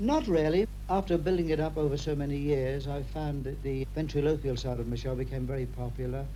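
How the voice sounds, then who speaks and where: A man talks at a fairly quick pace with hardly any pauses. Audible room echo and noticeable background noise surround him. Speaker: ventriloquist and entertainer. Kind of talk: radio interview. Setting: his living room.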